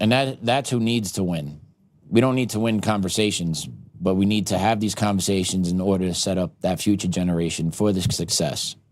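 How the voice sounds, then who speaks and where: This man uses a normal speaking voice, pitched fairly low, talking fairly quickly with ordinary pitch variation. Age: 40s. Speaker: podcast host. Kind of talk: casual conversation.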